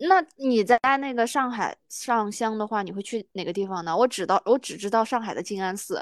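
A woman talks at a fairly quick pace with hardly any pauses, in a plain, everyday voice. Her pitch is fairly high with ordinary variation, and the recording is very clean, with a silent background and a dry, close sound with no echo. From Sichuan, China. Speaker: podcast co-host. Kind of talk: casual chat.

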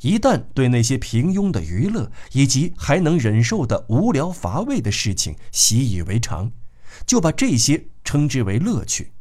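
A man talks at a fairly slow pace with a medium pitch and a dark, mellow tone. His voice has vocal fry and very wide pitch swings. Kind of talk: literary audiobook reading, scripted narration of a novel. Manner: measured, steady, formal narrator delivery.

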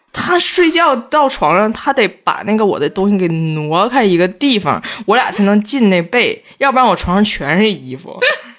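A woman talks at a moderate pace with hardly any pauses. Her tone is animated, with very wide pitch swings. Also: medium pitch for a woman. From Northeast China (Tieling, Liaoning). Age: 30s. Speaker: guest. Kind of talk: casual chat. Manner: animated, laughing often.

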